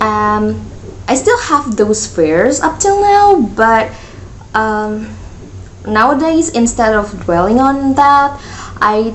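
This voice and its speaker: Very slow pace from a woman with ordinary pitch variation, amid noticeable background noise and audible room echo. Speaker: youtuber podcaster. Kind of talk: casual solo rant. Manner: halting, self-correcting; chatty, talks a lot.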